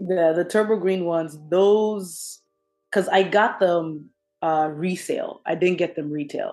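Against a quiet background, someone speaks with an American accent. The pace is fairly slow and the intonation fairly even. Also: woman, fairly low pitch for a woman. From Kenya, then New Jersey (US). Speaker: sneaker enthusiast. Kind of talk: casual chat.

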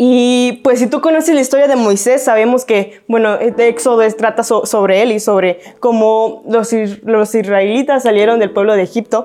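A woman with a dark, mellow tone and fairly high pitch speaks at a moderate pace, with fairly even intonation and very even loudness. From Mexico, Guadalajara. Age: 20s. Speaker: youth preacher, church staff. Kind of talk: sermon. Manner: casual, conversational.

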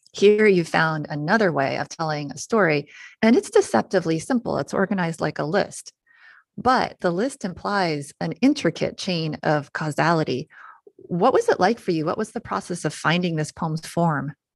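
In an ordinary speaking voice, a woman with a fairly low pitch talks at a moderate pace with lively intonation, recorded very cleanly against a silent background with a dry, close sound and no echo. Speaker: guest radio host. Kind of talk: radio interview.

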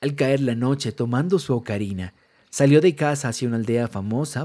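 A man's dark, mellow voice at a medium pitch, with ordinary pitch variation. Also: very clean recording, silent background. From Colombia. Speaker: music producer and podcaster. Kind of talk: storytelling narration. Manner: altered narration voice.

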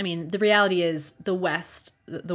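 A woman talks with an American accent at a medium pitch. Her pace is fairly slow. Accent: Baltimore accent, fading. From US, Baltimore. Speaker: podcast host. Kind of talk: solo monologue podcast. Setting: home studio.

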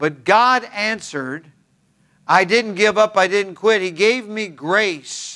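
A man with an American accent in a raised, projected voice at a very slow pace. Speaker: pastor. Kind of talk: sermon in church, ending with an altar-call prayer. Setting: church with in-person congregation and online stream. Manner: earnest, warm pastoral delivery with repetition for emphasis.

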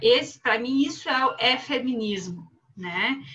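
A woman's voice, raised and projected, comes through high-pitched with a bright, sharp tone. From southern Brazil. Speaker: philosophy professor. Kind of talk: panel discussion.

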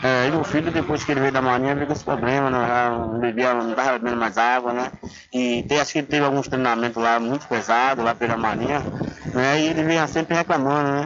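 Over noticeable background noise, a man talks very fast at a medium pitch, his loudness very even and his intonation fairly even. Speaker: municipal public works official. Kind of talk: radio interview.

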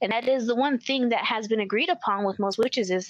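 Speaking at a fairly quick pace with a Spanish accent and ordinary pitch variation, a woman sounds dry and close with no echo against a quiet background. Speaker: occult researcher. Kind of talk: interview conversation.

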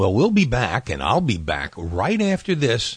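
A man speaks with a warm, upbeat tone and some vocal fry. His pitch swings very widely. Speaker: radio host. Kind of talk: 1960 radio dj patter, retro countdown show. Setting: radio show. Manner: warm, upbeat, chatty disc jockey delivery, friendly ad-libs between records.

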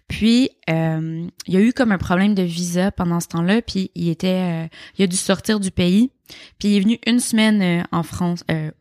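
On a very clean recording with a silent background and a dry, close sound with no echo, a woman speaks at a fairly slow pace with medium pitch and ordinary pitch variation. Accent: Quebec. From Quebec, Montreal (Rosemont). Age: 20s. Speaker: interviewee on a dating podcast. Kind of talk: casual interview chat.

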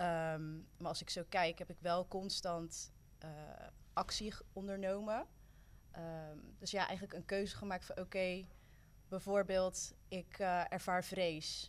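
Pausing long and often, a woman speaks at a fairly slow pace with monotone, flat intonation. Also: medium pitch for a woman. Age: 20s. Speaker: youth worker and student. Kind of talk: casual chat.

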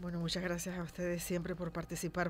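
Over music in the background, a woman with a fairly low pitch speaks at a very fast pace in a monotone, flat intonation. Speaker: radio host. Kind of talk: radio talk show.

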